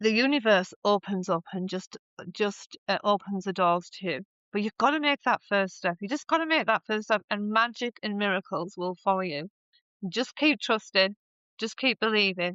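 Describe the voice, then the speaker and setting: A woman at a medium pitch and a moderate pace, with lively intonation. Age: 60s. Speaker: writer and songwriter. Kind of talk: podcast interview. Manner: halting.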